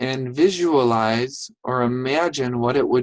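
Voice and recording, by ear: The background stays quiet. A natural voice reads something aloud.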